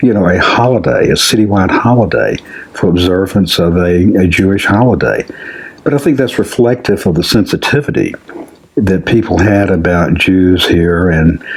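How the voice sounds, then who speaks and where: Over noticeable background noise, a man speaks in an Alabama accent at a fairly low pitch. His pace is moderate, with ordinary pitch variation. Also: very even loudness. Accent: Southern US (Alabama). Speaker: community founder. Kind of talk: interview.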